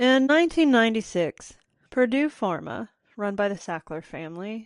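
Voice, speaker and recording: A woman with an Appalachian accent talks with lively intonation. The sound is dry and close with no echo, over a quiet background. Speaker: podcast host. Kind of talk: podcast monologue. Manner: casual, conversational.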